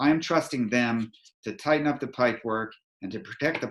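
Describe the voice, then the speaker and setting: The speaker has a North American accent and an unremarkable speaking voice. Pace is moderate, with ordinary pitch variation. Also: man. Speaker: energy advisor. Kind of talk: presentation. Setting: video call.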